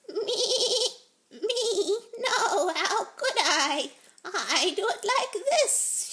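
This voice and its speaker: Using a put-on character voice at an extremely high pitch, a woman speaks very slowly. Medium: read story.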